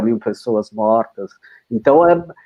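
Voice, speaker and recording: Pitch varies in an ordinary way for this man. He talks very slowly. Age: 60s. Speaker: film editor. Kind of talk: casual chat. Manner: halting, many false starts and repetitions.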